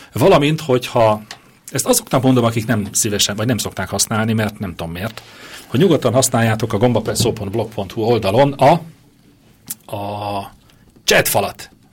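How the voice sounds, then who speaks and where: With long, frequent pauses, a man of medium pitch speaks at a moderate pace and ordinary pitch variation. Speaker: radio host. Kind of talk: casual chat. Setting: radio studio. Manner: loud. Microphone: echo at first, mic not plugged in properly.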